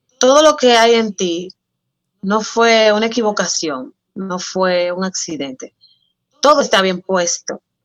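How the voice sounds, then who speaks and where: Her voice medium-pitched and her intonation lively, a woman speaks at a fairly slow pace with long, frequent pauses, recorded dry and close with no echo. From Dominican Republic, San Cristóbal. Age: 20s. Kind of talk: casual interview chat.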